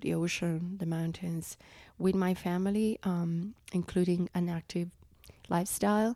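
A woman with an Italian accent speaks at a medium pitch with fairly even intonation on a very clean recording with a silent background. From Italy. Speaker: conservationist. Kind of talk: interview. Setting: in person in Mexico City.

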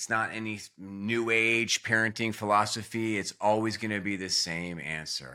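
A man's fairly low voice with a bright, sharp tone, ordinary pitch variation and a moderate pace. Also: very clean recording, silent background. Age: 40s. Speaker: family coach. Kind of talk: interview.

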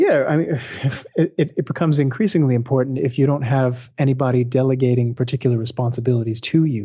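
At a very fast pace with hardly any pauses, a man with an American accent speaks in a somewhat breathy, medium-pitched voice, with ordinary pitch variation and very even loudness. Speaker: trumpeter. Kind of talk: interview. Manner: halting, many repeated words.

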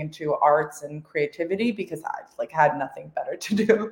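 A woman speaks over noticeable background noise. Her pitch rises and falls in an ordinary way. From Albania, moved to Canada as a child. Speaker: entrepreneur. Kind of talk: interview. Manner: casual, many fillers.

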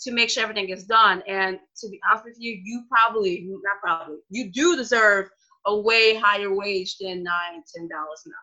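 Delivered in a normal speaking voice, the speech moves at a fairly quick pace with ordinary pitch variation. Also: woman. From New Orleans, US South. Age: 20s. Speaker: dog trainer guest. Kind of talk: casual interview.

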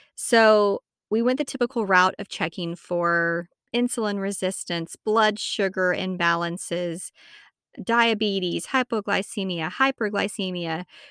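A woman with an American accent, medium pitch and ordinary pitch variation, at a fairly slow pace, with a dry, close sound with no echo on a very clean recording with a silent background. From Texas, Amarillo. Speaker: podcast host and herbalist. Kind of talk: personal story monologue.

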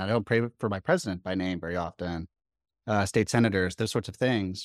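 A man's plain, everyday voice at a moderate pace with ordinary pitch variation, a dry, close sound with no echo, and a very clean recording with a silent background. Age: 30s. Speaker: counseling student and ministry worker. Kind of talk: casual chat.

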